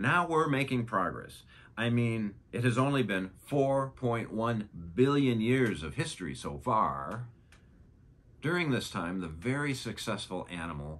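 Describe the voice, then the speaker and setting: A man's pitch swings very widely as he talks at a fairly slow pace. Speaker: science educator. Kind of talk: educational narration. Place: studio.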